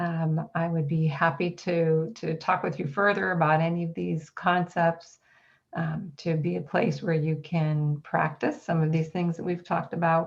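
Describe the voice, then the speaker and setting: A woman talks at a moderate pace with a fairly low pitch and a somewhat breathy voice. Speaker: college counselor and workshop presenter. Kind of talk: online workshop presentation.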